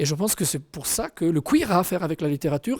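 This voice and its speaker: In a dry, close recording with no echo, a man with an Italian accent speaks in a dark, mellow tone with lively intonation. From Italian-speaking province. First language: Italian (speaking French). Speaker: author and translator. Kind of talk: interview monologue. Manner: hesitant, many fillers.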